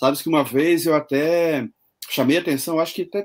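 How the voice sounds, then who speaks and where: This man has an ordinary speaking voice and a fairly high pitch. He speaks at a moderate pace. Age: 60s. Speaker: online show host. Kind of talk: interview.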